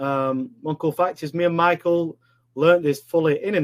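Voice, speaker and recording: A man in a Yorkshire accent speaks fairly quickly with fairly even intonation, in a dry, close sound with no echo. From northern England, Sheffield, Yorkshire. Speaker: online business coach. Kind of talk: live webinar presentation. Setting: live online stream. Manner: casual, filler-heavy.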